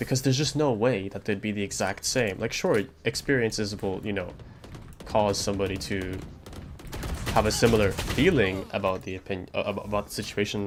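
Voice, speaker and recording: A man with a non-native accent speaks at a moderate pace, his pitch fairly low with ordinary variation. Noticeable background noise runs underneath. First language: not English. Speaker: streamer. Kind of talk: casual chat. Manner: hesitant, filler-heavy.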